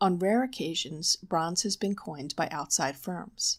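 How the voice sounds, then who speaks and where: A soft-spoken woman talks with ordinary pitch variation on a very clean recording with a silent background. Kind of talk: nonfiction audiobook reading for sleep.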